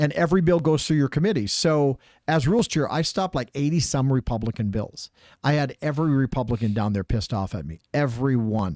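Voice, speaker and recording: A man's animated, medium-pitched voice at a fairly quick pace, with lively intonation. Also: dry, close sound with no echo, very clean recording, silent background. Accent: American. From Minnesota. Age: 60s. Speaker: politician. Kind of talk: political interview.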